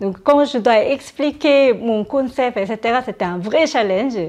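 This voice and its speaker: Against a quiet background, a woman with a Korean accent speaks with lively intonation. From South Korea. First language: Korean (speaking French). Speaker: startup founder. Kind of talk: interview. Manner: hesitant, many fillers.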